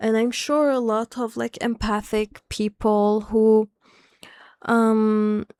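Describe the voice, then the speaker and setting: Woman with a non-native accent, fairly high pitch, very slow pace, dry, close sound with no echo. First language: not English. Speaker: spiritual content creator. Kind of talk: casual monologue. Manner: halting, many fillers and restarts.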